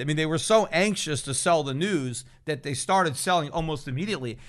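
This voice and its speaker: Here is a man with a plain, everyday voice. He talks at a moderate pace with a fairly high pitch. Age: 50s. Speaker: financial podcast host. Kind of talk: solo commentary.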